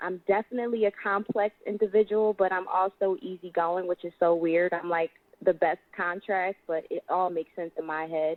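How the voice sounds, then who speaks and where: With a Philadelphia accent, a woman at medium pitch talks at a moderate pace with fairly even intonation and hardly any pauses. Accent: American, Philadelphia. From US, Philadelphia. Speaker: singer and actress. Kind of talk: radio interview.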